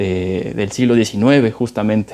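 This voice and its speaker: His voice is medium in pitch for a man, dark and mellow in tone, with fairly even intonation. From Mexico. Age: 20s. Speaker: podcast co-host, political adviser. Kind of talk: casual chat.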